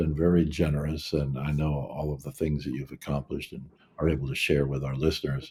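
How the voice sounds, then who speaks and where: Very deep, low pitch from a man, somewhat breathy with a dark, mellow tone, at a fairly quick pace. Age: 70s. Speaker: podcast host. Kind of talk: interview conversation.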